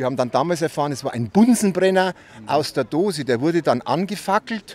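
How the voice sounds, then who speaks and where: A man's pitch swings very widely as he speaks. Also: dry sound with no echo. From Bavaria, Freising; Bavaria. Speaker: eyewitness, former school newspaper editor; interviewee. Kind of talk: storytelling interview. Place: street. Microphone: handheld.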